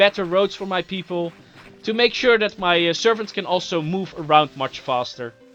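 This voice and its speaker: With lively intonation, a man speaks fairly quickly against noticeable background noise. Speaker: gaming video commentator. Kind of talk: gameplay commentary. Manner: fast.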